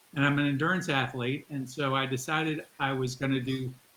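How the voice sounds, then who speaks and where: A man with a plain, everyday voice, medium in pitch, at a moderate pace and with fairly even intonation. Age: 60s. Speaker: endurance athlete. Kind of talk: interview.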